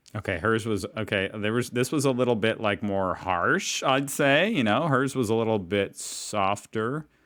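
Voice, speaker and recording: A man with an American accent and an unremarkable speaking voice, at medium pitch with ordinary pitch variation, a moderate pace, hardly any pauses and very even loudness, on a very clean recording with a silent background. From United States. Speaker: reaction video creator. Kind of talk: casual talk to camera. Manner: upbeat.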